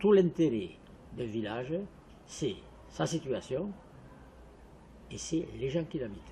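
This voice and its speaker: A man's very slow delivery with long, frequent pauses, very wide pitch swings, vocal fry and a dark, mellow tone. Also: fairly high pitch for a man. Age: 80s+. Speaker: village resident interviewee. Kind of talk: interview testimony.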